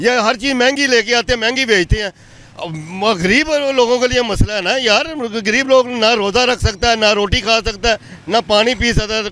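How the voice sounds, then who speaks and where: Over noticeable background noise, a raised, projected voice speaks at a moderate pace with ordinary pitch variation. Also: man, extremely high pitch for a man. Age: 60s. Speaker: man on the street, citizen. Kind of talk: street interview. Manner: animated, indignant.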